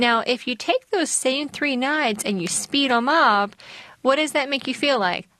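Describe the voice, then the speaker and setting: In an American accent, a woman with a high-pitched, bright, sharp voice speaks at a fairly slow pace in a raised, projected voice. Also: ordinary pitch variation. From US South. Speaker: mental health counselor. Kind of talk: casual chat.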